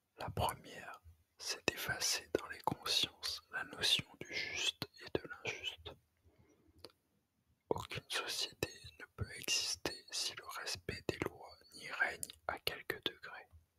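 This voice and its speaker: The voice is a whisper, delivered very slowly. Pauses are long and frequent. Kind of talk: whispered ASMR reading of an essay. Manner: whispered.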